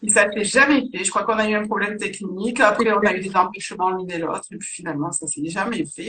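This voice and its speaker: Talking at a very fast pace with hardly any pauses, a woman with a Marseille accent uses a medium pitch, ordinary pitch variation and big swings in loudness. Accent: southern French (Marseille), singsong. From southern France, Marseille. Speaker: medium and author. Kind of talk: casual interview.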